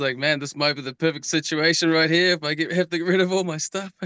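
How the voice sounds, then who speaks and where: A man's bright, sharp tone in a New Zealand accent, with fairly even intonation and a quiet background. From New Zealand, North Island. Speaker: home cannabis grower. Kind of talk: casual chat.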